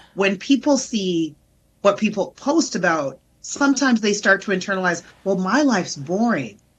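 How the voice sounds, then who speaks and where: A woman's animated, somewhat breathy voice with a Canadian accent, medium pitch and very wide pitch swings, at a moderate pace over a quiet background. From Canada, Greater Toronto Area. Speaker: therapist and comedian. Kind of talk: casual interview chat.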